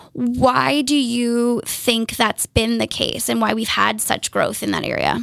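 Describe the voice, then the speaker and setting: Over noticeable background noise, a woman talks at a fairly slow pace with hardly any pauses. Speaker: podcast host. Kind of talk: casual chat. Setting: studio. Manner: chatty, animated.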